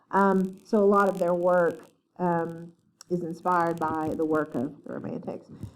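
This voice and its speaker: With an Appalachian accent, a woman speaks at a moderate pace in a fairly low voice with fairly even intonation. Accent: Appalachian twang. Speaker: literature professor. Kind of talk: lecture. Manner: halting, many fillers.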